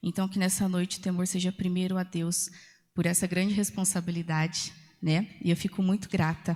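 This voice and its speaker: Somewhat breathy and medium-pitched, a woman speaks at a moderate pace in a flat monotone with very even loudness, on a very clean recording with a silent background. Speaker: preacher. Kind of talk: sermon. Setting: church.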